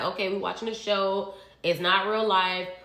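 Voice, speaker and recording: An animated voice at a moderate pace comes through noticeable background noise and audible room echo. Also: woman. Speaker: reality TV recap vlogger. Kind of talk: casual monologue vlog. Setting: home kitchen.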